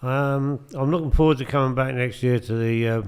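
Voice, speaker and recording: A man talks with fairly even intonation. There is noticeable background noise. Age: 60s. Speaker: amateur darts player and charity fundraiser. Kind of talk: casual chat.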